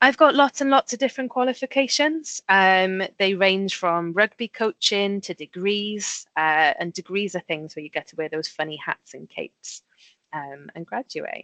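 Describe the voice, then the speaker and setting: In a Welsh accent, a woman at a medium pitch speaks at a moderate pace with very wide pitch swings and big swings in loudness, in a dry, close sound with no echo against a quiet background. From Wales. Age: 30s. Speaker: safety engineer. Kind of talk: presentation to school pupils.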